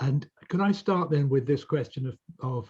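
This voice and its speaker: A man with a British accent speaks at medium pitch with ordinary pitch variation. His voice is somewhat breathy with a dark, mellow tone. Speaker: legal expert panelist. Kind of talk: panel discussion.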